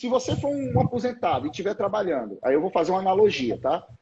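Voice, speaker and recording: Talking very fast, a man uses a high pitch that moves in very wide swings. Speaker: labor law professor. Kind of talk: live stream lecture on labor law. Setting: Instagram live.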